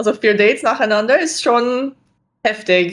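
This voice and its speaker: Here is a woman with an American accent and a fairly high pitch. She speaks at a moderate pace. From USA. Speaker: dating show contestant. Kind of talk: casual chat.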